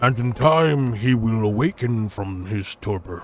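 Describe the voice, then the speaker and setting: A man's put-on character voice at a medium pitch. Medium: game stream. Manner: stately, archaic phrasing.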